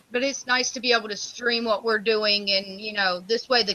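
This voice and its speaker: Amid noticeable background noise, a woman speaks at a fairly high pitch with fairly even intonation. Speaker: online game developer. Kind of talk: casual chat.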